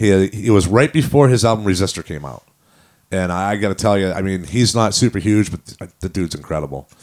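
A man talks very fast in a very deep, low-pitched voice. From New Hampshire, Manchester. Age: 50. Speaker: rock band singer and drummer. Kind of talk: casual chat.

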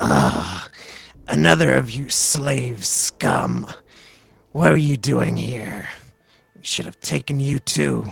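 A man uses a put-on character voice at a fairly low pitch, with very wide pitch swings. He speaks at a very slow pace with long, frequent pauses. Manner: sneering, contemptuous, threatening.

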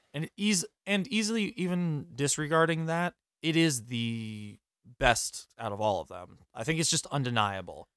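Over a silent background in a very clean recording, a man speaks at a fairly slow pace with very wide pitch swings. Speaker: podcast host. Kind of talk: casual chat. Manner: animated.

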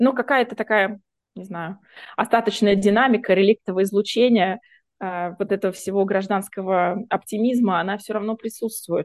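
With an ordinary speaking voice, a woman talks at medium pitch and a moderate pace with fairly even intonation. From Russia, Voronezh. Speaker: human rights activist. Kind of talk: interview.

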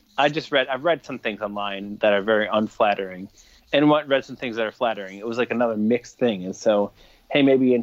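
A man with an American accent in a normal speaking voice, at a fairly quick pace with ordinary pitch variation. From Michigan (Fenton, near Flint). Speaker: musician and record label owner. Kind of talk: casual chat.

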